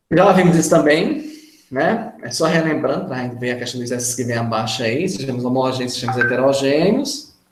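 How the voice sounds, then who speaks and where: A man's voice at a moderate pace, with ordinary pitch variation and audible room echo. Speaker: chemistry teacher. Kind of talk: lecture.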